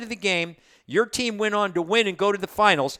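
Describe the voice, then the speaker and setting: A man with a high pitch and a bright, sharp tone uses a raised, projected voice at a fairly quick pace, with a dry, close sound, no echo and a very clean recording over a silent background. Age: 60s. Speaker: sports radio host. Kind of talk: interview. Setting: studio.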